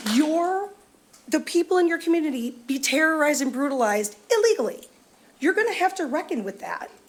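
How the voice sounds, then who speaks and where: Noticeable background noise sits behind a woman with a high pitch. Her pitch swings very widely. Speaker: public commenter. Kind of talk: public comment at government meeting. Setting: county board meeting.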